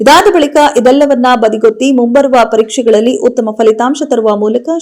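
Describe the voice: A woman speaks with a fairly high pitch and a slightly mellow tone. Her pace is moderate, with ordinary pitch variation.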